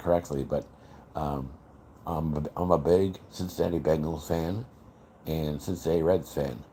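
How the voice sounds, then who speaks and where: With an American accent, a man talks at a moderate pace in a very deep, low voice, his tone dark, mellow and relaxed and his intonation fairly even. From US Midwest, Chicago area. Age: 60s. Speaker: livestreamer, factory worker. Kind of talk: casual livestream chat. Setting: live stream at night. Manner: relaxed, rambling with hesitations.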